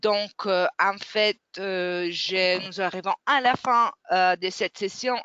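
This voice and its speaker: This voice carries a non-native accent. Delivery is very slow. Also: woman. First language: not French (speaking French). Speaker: webinar moderator. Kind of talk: webinar closing remarks. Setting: online webinar. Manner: halting, many hesitations.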